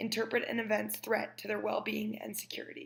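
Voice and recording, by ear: Her fairly high voice carries vocal fry as the woman talks at a fairly quick pace.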